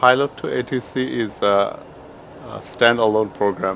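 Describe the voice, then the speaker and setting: Over noticeable background noise, a man talks in a monotone, flat intonation at a medium pitch. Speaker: flight sim hobbyist reviewer. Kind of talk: casual software review voice-over.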